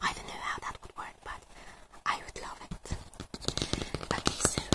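A whispering woman at a fairly slow pace, with big swings in loudness. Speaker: ASMR content creator. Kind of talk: casual commentary while browsing a page. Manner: whispered, soft-spoken, reflective.

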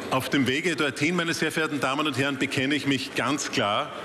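Over light background noise, a man talks fairly quickly with ordinary pitch variation. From Austria. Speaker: member of parliament, party finance spokesman; party finance spokesman. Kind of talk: parliamentary speech. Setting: parliament chamber. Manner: formal. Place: hall. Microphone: podium.

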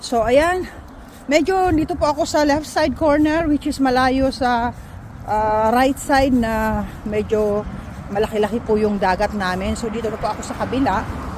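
A woman at a moderate pace, fairly high in pitch with lively intonation, over noticeable background noise. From Philippines. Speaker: vlogger. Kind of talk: casual vlog talking to camera. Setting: outdoors, walking.

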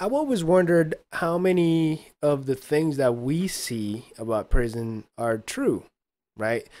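Very slowly, a man speaks with very wide pitch swings. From Mexico (Chihuahua). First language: Spanish. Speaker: podcast co-host or guest. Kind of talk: casual chat. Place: home room. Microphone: studio mic.

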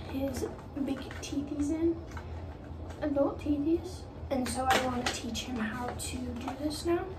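Fairly slow speech from a woman over loud background noise. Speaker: pet owner vlogger. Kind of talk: casual vlog chat. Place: bathroom. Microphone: phone near.

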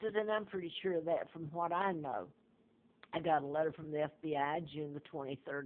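A woman with a Southern US accent speaks in a very deep, low voice. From US South. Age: 70s. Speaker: video blogger. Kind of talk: personal monologue about claims. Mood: earnest, conspiratorial. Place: home room. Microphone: phone near.

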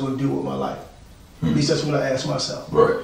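A man is speaking. Audible room echo surrounds his voice. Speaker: guest, trainer. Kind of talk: interview answer. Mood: reflective, earnest. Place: studio.

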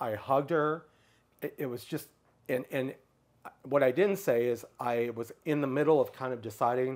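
A man speaks at a medium pitch. His pace is fairly quick, with ordinary pitch variation. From US Midwest, Michigan. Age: 60s. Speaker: public speaker on LGBTQ issues. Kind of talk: interview. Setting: in person. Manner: halting. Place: home room. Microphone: lapel.

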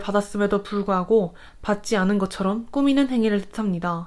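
Her unremarkable speaking voice sits at medium pitch with ordinary pitch variation, moving at a moderate pace on a very clean recording with a silent background. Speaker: university student. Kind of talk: scripted narration. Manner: formal.

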